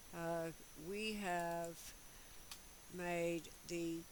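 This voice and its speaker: A woman speaks at a fairly low pitch with monotone, flat intonation. Room echo is audible. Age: 60s. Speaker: custom sewing tutor, YouTuber. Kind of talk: tutorial with casual chat. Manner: conversational, rambling with fillers.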